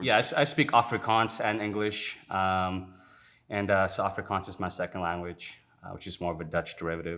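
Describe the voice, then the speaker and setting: A man's very deep, low voice with a bright, sharp tone and big swings in loudness. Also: ordinary pitch variation, fairly quick pace, very clean recording, silent background. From South Africa. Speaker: detailing business owner. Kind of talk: interview. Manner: casual, many fillers.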